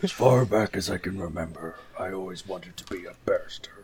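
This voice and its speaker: In a put-on character voice, a man speaks with very deep, low pitch. His pace is fairly quick. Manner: Goodfellas lines in a bear voice.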